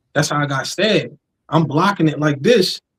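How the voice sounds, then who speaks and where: A man with an American accent, fairly high-pitched and somewhat breathy, at a very fast pace with ordinary pitch variation, in a dry, close recording with no echo. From New Jersey (South Jersey). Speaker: rapper. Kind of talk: interview. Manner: animated.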